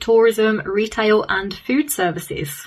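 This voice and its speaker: A woman with a Birmingham accent, fairly high pitch, and moderate pace. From England, Birmingham. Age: 30s. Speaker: podcast host. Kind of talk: scripted intro; interview.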